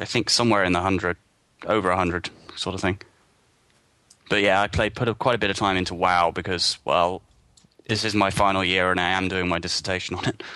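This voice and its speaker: A man with a British accent speaks at a very fast pace in a very deep, low pitch, leaving long, frequent pauses. His tone is bright and sharp, while his intonation is monotone and flat. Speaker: gaming site contributor. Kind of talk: casual chat.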